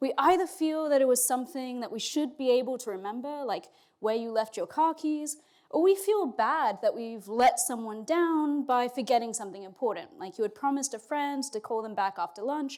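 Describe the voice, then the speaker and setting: The woman's voice is high-pitched with lively intonation. She keeps a moderate pace. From Australia and England. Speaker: philosophy professor. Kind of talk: lecture. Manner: casual, with fillers.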